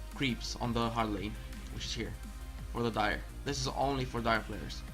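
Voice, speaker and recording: A man speaks with a non-native accent while music plays in the background. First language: not English. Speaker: gamer. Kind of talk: video game tutorial narration.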